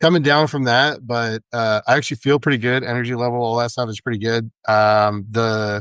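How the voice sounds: A man's raspy voice at medium pitch, clear and smooth in tone yet fairly bright, with fairly even intonation, a fairly quick pace, and a dry, close sound with no echo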